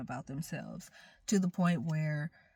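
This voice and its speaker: Recorded very cleanly against a silent background, a woman with a fairly low pitch speaks in an animated tone that is somewhat breathy. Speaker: tarot reader. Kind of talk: tarot reading. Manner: casual, animated.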